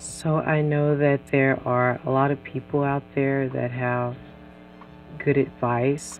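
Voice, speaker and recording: A woman speaking at a fairly slow pace, with music in the background. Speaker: podcast host; parent. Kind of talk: casual podcast intro talk.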